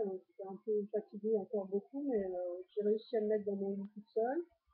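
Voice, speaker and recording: The intonation stays fairly even throughout. She is a woman with a medium-pitched voice. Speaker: vlogger documenting weight-loss surgery journey. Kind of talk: personal vlog, casual recounting. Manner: fast; hesitant, many fillers.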